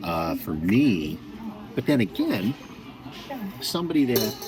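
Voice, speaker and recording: A man speaks at a moderate pace with a medium pitch and very wide pitch swings, over noticeable background noise. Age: 60s. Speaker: natural bodybuilder. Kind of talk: casual chat. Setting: restaurant. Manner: halting.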